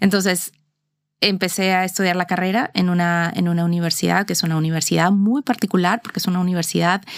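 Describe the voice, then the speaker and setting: On a very clean recording with a silent background, a woman with a Mexican accent speaks at a very fast pace and medium pitch with fairly even intonation. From Mexico, Mexico City. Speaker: corporate lawyer. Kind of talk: interview. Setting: in person, seated facing host.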